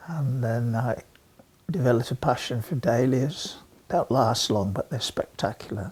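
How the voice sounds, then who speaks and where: A somewhat breathy man with an English accent, moderate pace and ordinary pitch variation. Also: medium pitch for a man. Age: 80s+. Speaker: amateur gardener. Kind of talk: interview monologue.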